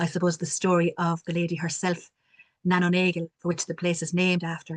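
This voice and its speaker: In a strong Cork accent, a woman speaks flat and monotone at a fairly low pitch, the sound dry and close with no echo. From Ireland, Cork city. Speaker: community development worker. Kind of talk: panel discussion.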